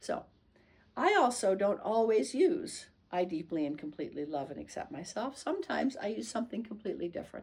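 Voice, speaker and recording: A woman speaks with a gentle, soothing tone. Her pitch sits in the medium range. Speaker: nurse and tapping instructor. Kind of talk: tutorial. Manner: fast.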